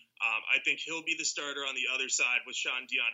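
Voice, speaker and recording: This man talks at a fairly quick pace. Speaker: podcast co-host and football analyst. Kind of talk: casual chat, sports podcast analysis.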